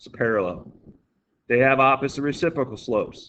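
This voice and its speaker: A man with an unremarkable speaking voice talks at a medium pitch, with ordinary pitch variation. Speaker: math teacher. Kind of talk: tutorial. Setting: recorded video lesson.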